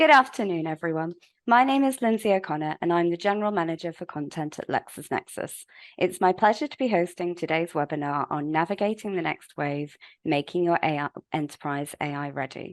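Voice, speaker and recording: A woman talks at a fairly quick pace with lively intonation. The sound is dry and close with no echo, over a quiet background. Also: fairly low pitch for a woman. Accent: British. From UK. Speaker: webinar host, legal publishing executive. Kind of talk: webinar presentation. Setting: online webinar.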